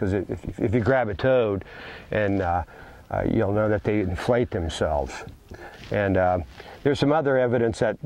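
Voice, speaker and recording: Moving at a moderate pace, a man speaks with a fairly low pitch. His voice shows ordinary pitch variation. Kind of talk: educational explanation. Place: forest. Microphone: lapel.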